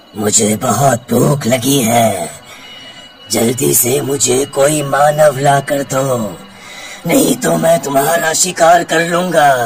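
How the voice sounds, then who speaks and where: Over clear background noise, a man puts on a character voice at medium pitch and speaks at a very slow pace. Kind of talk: horror narration. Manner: menacing, hungry, mocking.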